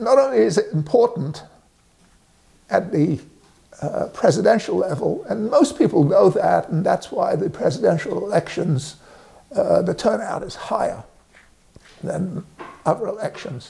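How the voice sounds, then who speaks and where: With an English accent, a man talks at a moderate pace, leaving long, frequent pauses. Background noise is noticeable. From England. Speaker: resident sharing civic views. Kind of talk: direct-to-camera statement. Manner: halting, many fillers.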